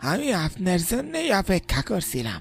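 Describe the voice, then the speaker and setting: A cartoonish character voice sits at a middle pitch. It moves along at a moderate pace. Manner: folksy, creepy.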